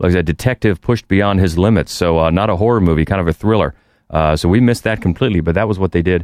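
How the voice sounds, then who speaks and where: Words come at a very fast pace with ordinary pitch variation and very even loudness. The sound is dry and close with no echo, over a quiet background. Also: man, very deep, low pitch for a man. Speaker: podcast co-host. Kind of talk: casual chat.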